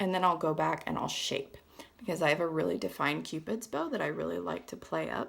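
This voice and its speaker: In a raspy, put-on character voice, a woman talks at a fairly quick pace. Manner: speaking with stretched lips while applying lip color.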